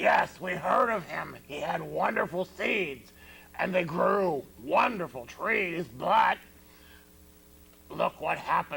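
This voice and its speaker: Putting on a character voice with a high pitch, a man speaks at a fairly slow pace with long, frequent pauses. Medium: comedy sketch. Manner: plain-spoken, mildly scolding.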